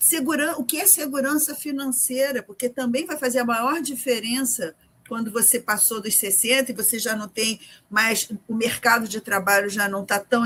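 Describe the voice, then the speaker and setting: A woman with a normal speaking voice talks at a moderate pace, her fairly high pitch moving with ordinary variation. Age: 60s. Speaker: journalist and writer. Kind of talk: interview.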